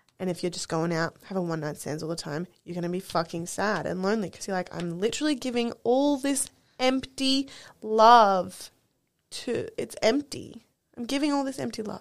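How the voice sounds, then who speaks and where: With an Australian accent, a woman at medium pitch talks at a moderate pace, her pitch swinging very widely, in a very clean recording with a silent background. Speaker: podcast co-host. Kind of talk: casual chat.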